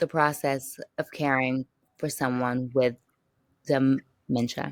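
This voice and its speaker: A woman speaks at a very slow pace in a very deep, low pitch. Her intonation is monotone and flat. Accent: American. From California. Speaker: caregiver advocate. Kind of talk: podcast interview. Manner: slow at times, drawn-out vowels.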